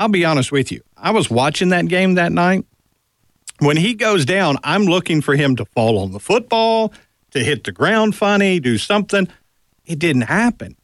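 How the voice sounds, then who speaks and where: Pitch leaps widely up and down at a moderate pace. The sound is dry and close, with no echo. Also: man, high pitch for a man. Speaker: radio co-host. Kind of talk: sports talk radio. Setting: studio.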